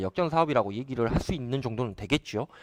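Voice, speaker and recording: A man rattles off his words at a very fast pace against a quiet background. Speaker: solar company CEO. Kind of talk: live stream talk to viewers. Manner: hesitant, filler-heavy.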